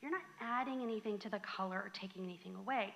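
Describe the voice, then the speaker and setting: A woman with an American accent talks at a fairly quick pace in a fairly high pitch, her tone animated. Her intonation is lively, with noticeable background noise behind her. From Southern California. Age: 40s. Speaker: floral design coach. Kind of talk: workshop presentation. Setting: garden club meeting with live audience.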